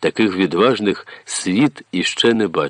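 The speaker is doing plain reading aloud. Ordinary variation runs through the pitch.

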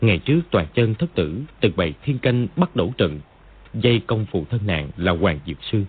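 What we hear is an unforced reading voice.

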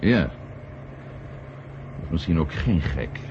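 A man uses a put-on character voice at an extremely low pitch, with big pitch swings. His tone is slightly mellow and his pace is slow.

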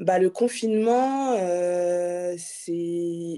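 A woman's voice sits at a fairly low pitch with a dark, mellow tone. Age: 20s. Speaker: restaurant owner. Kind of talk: interview. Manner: hesitant, many fillers.

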